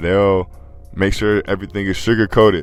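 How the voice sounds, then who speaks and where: A man is speaking. Music plays in the background. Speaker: podcast commentator. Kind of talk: casual commentary monologue.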